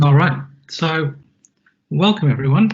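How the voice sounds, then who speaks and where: The voice is somewhat breathy, with an Australian accent. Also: man. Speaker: IT technical consultant presenting a webinar. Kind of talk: webinar presentation. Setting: online webinar. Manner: casual, with frequent fillers.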